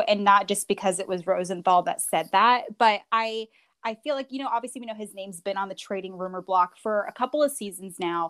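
An ordinary speaking voice, a woman at medium pitch talks at a fairly quick pace with hardly any pauses and ordinary pitch variation, sounding dry and close with no echo. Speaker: sports broadcaster. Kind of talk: interview. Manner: fast talker.

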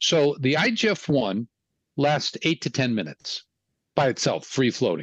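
A man's fairly high voice with vocal fry and lively intonation, at a fairly slow pace, very even in loudness, dry and close with no echo, over a quiet background. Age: 70s. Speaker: physician specializing in hormones. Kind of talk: interview.

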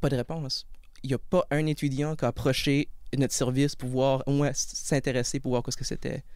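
A man talks at a fairly quick pace. His pitch is fairly high and his intonation monotone and flat. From Acadian Peninsula, New Brunswick. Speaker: support worker and criminology student. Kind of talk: interview. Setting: studio.

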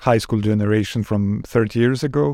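This man has a Serbian accent, a fairly low pitch and a dark, mellow tone. His intonation is fairly even, on a very clean recording with a silent background. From Serbia, Belgrade. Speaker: foreign correspondent and documentary maker. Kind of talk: interview. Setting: studio.

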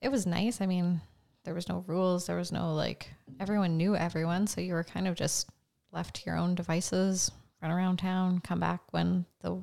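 In a Canadian Prairies accent, a woman talks at a moderate pace. The recording is very clean, with a silent background. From rural Saskatchewan, Canada. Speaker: medical student, former fitness coach. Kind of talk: casual interview.

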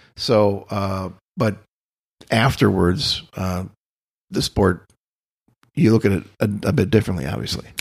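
Fairly slow, fairly low-pitched male speech in an American accent, with vocal fry, ordinary pitch variation, and long, frequent pauses. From US Midwest, Austin, Minnesota. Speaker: painter. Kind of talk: casual interview conversation. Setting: artist's studio. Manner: halting, many fillers.

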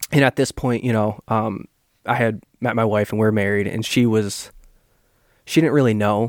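In a plain, everyday voice at medium pitch, a man speaks at a moderate pace with fairly even intonation, on a very clean recording with a silent background and a dry, close sound with no echo. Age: 20s. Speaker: adoptee sharing his story. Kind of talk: casual interview.

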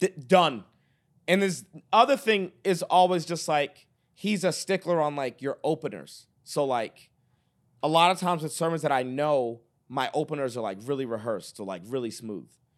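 Captured in a very clean recording with a silent background, a man speaks with a fairly high pitch. His intonation is lively and his pace moderate. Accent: American. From Boston, Massachusetts. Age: 30s. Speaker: evangelist and preacher. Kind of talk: casual interview chat. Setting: studio.

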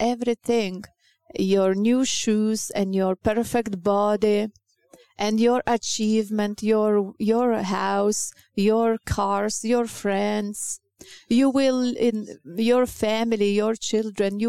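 At a slow pace, a woman speaks with a medium pitch, a clear, smooth yet dark, mellow tone, vocal fry and fairly even intonation, in a dry, close sound with no echo.

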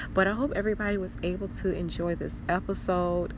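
A woman is speaking. The room echo is audible. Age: 20s. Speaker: podcast host. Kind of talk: personal diary monologue. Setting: outdoors. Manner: casual, hesitant with many fillers.

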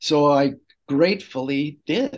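The speaker has an unremarkable speaking voice with fairly even intonation, set against a quiet background. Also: man. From Canada. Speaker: poet. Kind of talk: interview conversation.

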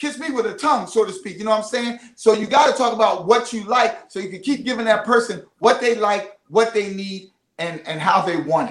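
With ordinary pitch variation, the words come out at a very fast pace. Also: man. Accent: Philadelphia. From Philadelphia. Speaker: marriage coach. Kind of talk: casual interview. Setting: studio.

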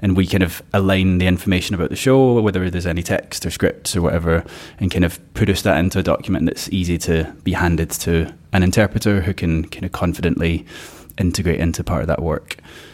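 In a Glasgow accent, a man talks at a very fast pace with a very deep, low pitch and fairly even intonation. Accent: Glasgow Scottish. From Scotland, Glasgow. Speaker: circus producer. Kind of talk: interview.

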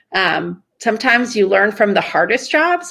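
A woman speaks with vocal fry. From Iran. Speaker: marketing executive. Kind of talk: interview.

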